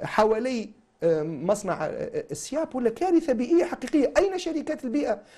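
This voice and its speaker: This dark, mellow voice moves at a moderate pace while its pitch swings very widely. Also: man. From Tunisia, Sfax; Tunisia. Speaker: engineer and business consultant, political figure; talk show guest. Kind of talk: TV interview. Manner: animated. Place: studio. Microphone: lapel.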